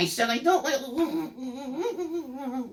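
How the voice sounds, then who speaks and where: This is a put-on character voice. The pitch is high. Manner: whiny, protesting.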